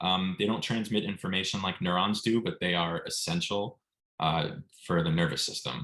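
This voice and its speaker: A man speaks at a very deep, low pitch in a bright, sharp tone. His loudness stays very even, and his pitch varies an ordinary amount. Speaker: MCAT tutor. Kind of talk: online lecture. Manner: fast.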